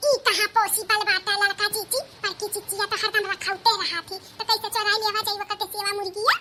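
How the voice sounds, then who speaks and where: In a cartoonish character voice, a female-sounding voice talks at a fairly quick pace and an extremely high pitch. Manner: chatty, gossipy.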